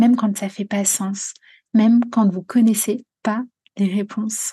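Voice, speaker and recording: Somewhat breathy and dark, mellow in tone, a woman speaks at a fairly slow pace with monotone, flat intonation. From France, Normandy. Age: 20s. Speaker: podcast host and coach. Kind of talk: personal storytelling monologue.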